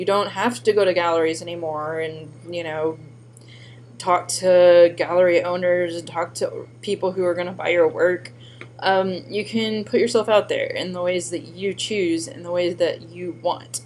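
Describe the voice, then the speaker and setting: Over noticeable background noise, a woman with a fairly low pitch speaks at a moderate pace with ordinary pitch variation. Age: 30s. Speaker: former teacher and artist. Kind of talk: personal introduction video. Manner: casual, with filler words.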